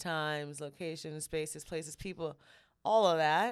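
A woman with a fairly low pitch and ordinary pitch variation talks at a moderate pace in an unremarkable speaking voice on a very clean recording with a silent background. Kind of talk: casual banter chat. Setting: studio. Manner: playful, joking.

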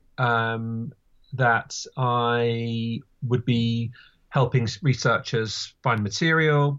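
In a British accent, a man talks at a medium pitch. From UK. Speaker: writer and design historian. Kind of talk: interview conversation.

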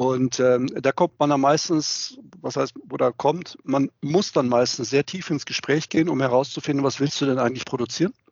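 A man with an ordinary speaking voice, fairly high in pitch, at a moderate pace. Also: fairly even intonation. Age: 50s. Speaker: sales director at a plastics trading platform. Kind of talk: interview. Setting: video call.

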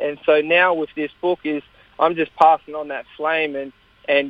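A man speaks with an Australian accent. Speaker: kettlebell world champion and author. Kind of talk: interview.

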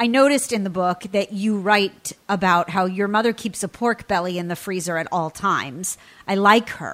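Delivered at a moderate pace with hardly any pauses, the speech shows ordinary pitch variation. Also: woman, medium pitch for a woman. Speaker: radio host. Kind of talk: radio show interview. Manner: warm, enthusiastic.

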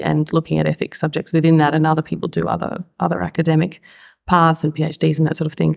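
Australian-accented woman's voice. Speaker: intensive care specialist and ethicist. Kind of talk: panel discussion.

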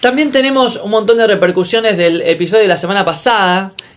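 The man's delivery is very fast. His voice is high for a man and shows ordinary pitch variation. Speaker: podcast host. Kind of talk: casual chat.

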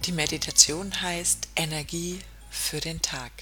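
A woman speaks with a fairly low pitch. Her tone is gentle and soothing. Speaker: podcast host and meditation guide. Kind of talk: guided meditation. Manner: slow, soothing, calm; gentle, hypnotic, with long pauses.

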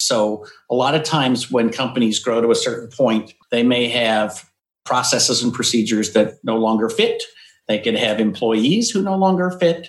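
Using a normal speaking voice, a man with an American accent talks at medium pitch and a moderate pace, with ordinary pitch variation. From Eastern Washington, US. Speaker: IT business coach and consultant. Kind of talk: interview conversation. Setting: home office.

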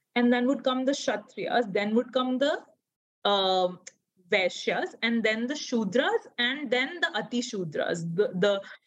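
A woman with an Indian accent, fairly high in pitch, at a fairly slow pace. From Odisha, India. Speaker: anthropologist. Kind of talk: casual interview chat.

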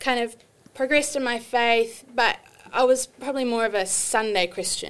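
With a New Zealand accent, a woman talks in a bright, sharp tone and a fairly even intonation. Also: very clean recording, silent background. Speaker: artist and ministry student. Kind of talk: casual interview chat.

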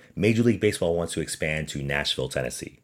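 With a very deep, low pitch and vocal fry, a man talks in an animated tone with ordinary pitch variation. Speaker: podcast host. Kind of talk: casual podcast monologue about baseball. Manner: animated, joking.

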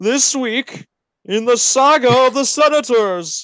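This is a put-on character voice at a fairly high pitch. The pace is fairly slow. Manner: dramatic, announcer-like.

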